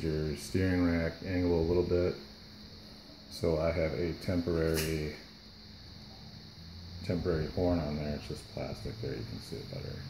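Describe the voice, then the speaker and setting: A man speaks with a very deep, low pitch, a dark, mellow tone and a somewhat breathy sound, his intonation fairly even. He keeps a moderate pace with long, frequent pauses amid noticeable background noise. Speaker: RC car hobbyist. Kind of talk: casual how-to tutorial. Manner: mumbly. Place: workshop. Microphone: phone near.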